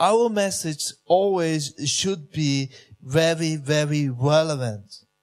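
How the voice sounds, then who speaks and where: Recorded very cleanly against a silent background, a man with a German accent talks very slowly at a fairly high pitch, with ordinary pitch variation. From Switzerland. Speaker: pastor. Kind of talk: sermon.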